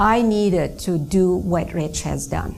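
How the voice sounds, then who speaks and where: A woman talks at a fairly slow pace in a medium pitch with lively intonation, and the room echo is audible. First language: not English; another native language. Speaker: network marketing trainer. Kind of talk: business training talk.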